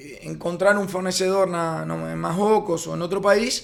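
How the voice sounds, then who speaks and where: His pitch is high and his intonation monotone and flat. The man speaks at a fairly slow pace. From Uruguay. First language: Spanish (speaking Portuguese). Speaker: freight forwarding company founder. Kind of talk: podcast interview. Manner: halting, many fillers.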